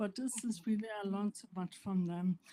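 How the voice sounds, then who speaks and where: A woman with a non-native accent and a dark, mellow tone in a dry, close sound with no echo. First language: not English. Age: 50s. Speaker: assistant professor living with PLS. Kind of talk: speech to an audience. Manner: halting, with self-corrections.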